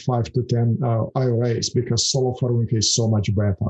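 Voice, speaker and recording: A somewhat breathy man in a Russian accent at medium pitch and a very fast pace. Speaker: financial services founder. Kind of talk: podcast interview. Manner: hesitant, many fillers.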